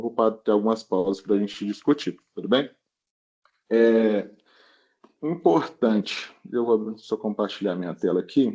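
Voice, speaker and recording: With a dark, mellow tone, a man speaks at a medium pitch and moderate pace with ordinary pitch variation. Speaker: emergency physician. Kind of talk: lecture.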